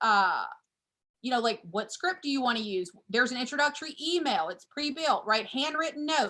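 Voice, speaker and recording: A woman with a bright, sharp tone uses a raised, projected voice and very wide pitch swings. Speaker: real estate coach. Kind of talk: training call presentation. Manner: loud; fast.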